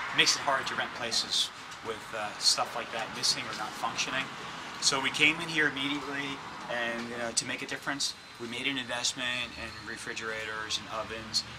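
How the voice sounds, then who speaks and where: Over noticeable background noise, a man with an American accent speaks fairly quickly at a medium pitch with fairly even intonation. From New York. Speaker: real estate investor and teacher. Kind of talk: walking property tour and class. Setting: on site at apartment building. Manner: hesitant, many fillers.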